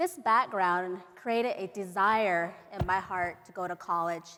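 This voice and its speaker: The speaker is a woman with a medium pitch. Her voice rises and falls to an ordinary extent. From Navajo Nation, Arizona. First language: Navajo. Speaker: professor. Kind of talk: keynote speech.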